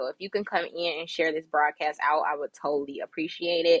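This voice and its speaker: With ordinary pitch variation, a woman speaks in a bright, sharp tone, the sound dry and close with no echo. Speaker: business consultant. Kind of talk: live stream business talk. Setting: live broadcast.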